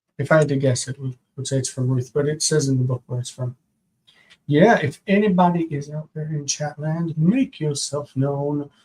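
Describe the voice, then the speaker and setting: A man with a fairly high, somewhat breathy voice speaks with ordinary pitch variation. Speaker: Hebrew grammar teacher. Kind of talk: live-stream lesson, homework review. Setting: live stream with chat. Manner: soft-spoken, quiet; slow.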